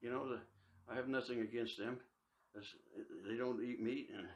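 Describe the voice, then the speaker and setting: A man with a Midwestern US accent speaks at a medium pitch and a fairly quick pace, broken by long, frequent pauses. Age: 80s+. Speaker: barber. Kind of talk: casual chat. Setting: barbershop.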